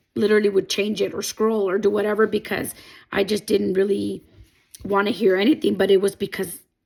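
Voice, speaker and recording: A woman speaks at a medium pitch with a non-native accent. Her voice has vocal fry. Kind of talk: personal testimony talk to camera.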